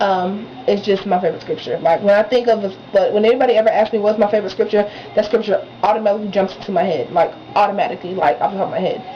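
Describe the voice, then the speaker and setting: Ordinary pitch variation comes through at a very fast pace over noticeable background noise. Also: woman, medium pitch for a woman. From Texas, San Antonio. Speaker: beauty vlogger. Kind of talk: casual vlog talk. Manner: chatty, relaxed.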